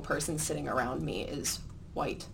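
The voice has a bright, sharp tone and an American accent. Room echo is audible. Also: woman. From Midland, Michigan (US Upper Midwest). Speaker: student newspaper editor. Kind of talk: editorial panel discussion.

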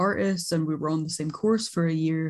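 A woman with a fairly low pitch and a dark, mellow, somewhat breathy tone speaks at a fairly quick pace with ordinary pitch variation. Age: 20s. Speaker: podcast co-host, art student. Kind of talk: casual chat.

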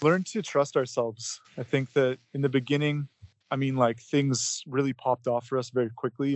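Keeping a moderate pace, a man delivers his words with fairly even intonation. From Canada. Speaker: rock band musician. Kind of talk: interview. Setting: phone call. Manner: halting.

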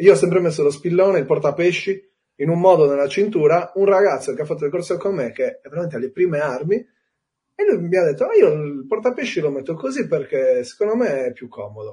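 Very fast male speech, high-pitched with a dark, mellow tone, lively intonation, and big swings in loudness. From Sardinia, Cagliari. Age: 30s. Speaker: spearfisherman and excursion business owner. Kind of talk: casual interview chat.

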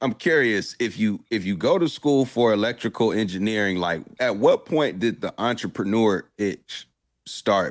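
An ordinary speaking voice from a man, fairly low in pitch and at a moderate pace, in a very clean recording with a silent background. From Durham, North Carolina. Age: 30s. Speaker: podcast host. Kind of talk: interview. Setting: live stream.

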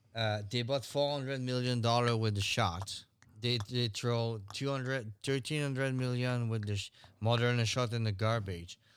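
A man's medium-pitched voice with ordinary pitch variation and a French accent. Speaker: podcast co-host. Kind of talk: casual banter chat.

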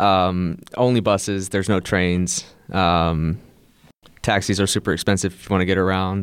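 A Midwestern US accent at a moderate pace, with fairly even intonation, on a very clean recording with a silent background. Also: man, very deep, low pitch for a man. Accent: US Midwest. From US, Ohio. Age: 20s. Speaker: English teacher. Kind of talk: casual chat.

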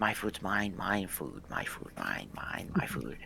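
A man puts on a character voice with a fairly low pitch. He speaks at a fairly slow pace over clear background noise. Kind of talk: quiet, hushed tone. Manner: possessive, repetitive.

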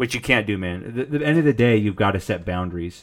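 A man speaks at a very fast pace with a fairly low pitch. The recording is very clean, with a silent background. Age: 30s. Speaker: streamer and podcast host. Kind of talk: casual live-stream talk about mental health. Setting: home live stream with microphone. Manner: casual, with frequent fillers and restarts.

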